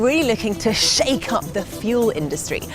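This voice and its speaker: A woman's upbeat, enthusiastic tone at a moderate pace, with music in the background. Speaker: TV presenter. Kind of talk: TV documentary presenting to camera.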